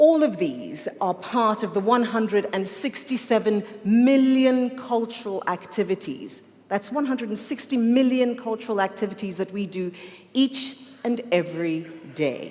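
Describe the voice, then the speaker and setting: A woman talks in a fairly high pitch with an animated tone and lively intonation. Noticeable background noise runs behind her. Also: moderate pace. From South Africa. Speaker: conference moderator. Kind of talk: formal event hosting.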